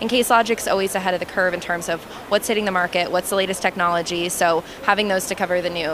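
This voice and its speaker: Recorded dry with no echo, a woman's voice comes through noticeable background noise. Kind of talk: product demo interview answer. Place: hall. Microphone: handheld.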